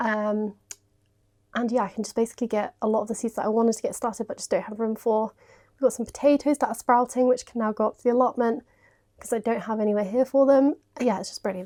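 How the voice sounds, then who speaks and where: Very fast and with big swings in loudness, a woman speaks in a British accent at a fairly high pitch with fairly even intonation, on a very clean recording with a silent background. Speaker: home renovation vlogger. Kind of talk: casual vlog chat.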